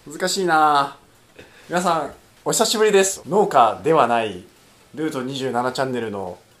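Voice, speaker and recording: Pitched fairly high, a man speaks at a fairly slow pace with very wide pitch swings and long, frequent pauses. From Fukui Prefecture, Japan. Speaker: podcast co-host, writer. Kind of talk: casual chat.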